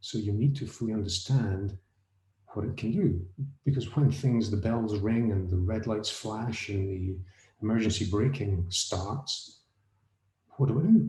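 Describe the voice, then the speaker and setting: With an American accent, a man speaks fairly slowly in a fairly low, somewhat breathy voice with a dark, mellow tone, ordinary pitch variation and long, frequent pauses. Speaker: autonomous vehicle safety consultant. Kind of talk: panel discussion. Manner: halting, with restarts.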